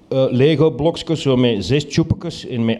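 With noticeable background noise behind him, a man talks at a moderate pace, his pitch medium and its variation ordinary. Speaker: storyteller. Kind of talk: live storytelling. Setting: stage with audience.

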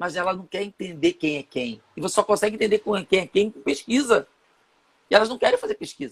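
High-pitched man at a fairly quick pace, very wide pitch swings and big swings in loudness. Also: dry, close sound with no echo. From Rio de Janeiro, São Gonçalo. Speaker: entrepreneur and marketing consultant. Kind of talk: interview, live online chat.

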